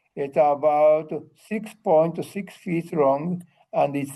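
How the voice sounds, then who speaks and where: In a Japanese accent, a man speaks at a very slow pace with a dark, mellow tone. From Japan, Chiran (Kagoshima). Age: 80s+. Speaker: museum docent and retired army officer. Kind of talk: presentation.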